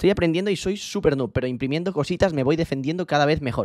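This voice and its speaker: Against a quiet background, a man talks at a very fast pace with ordinary pitch variation and a dry sound with no echo. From Spain. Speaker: streamer. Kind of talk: casual livestream chat. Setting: bedroom stream setup. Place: home room. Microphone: studio mic.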